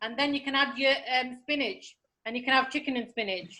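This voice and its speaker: A raised, projected voice, bright and sharp, fairly quick, with fairly even intonation. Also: woman. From northern England, Middlesbrough. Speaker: cooking session guest cook. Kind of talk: cooking tutorial; casual chat.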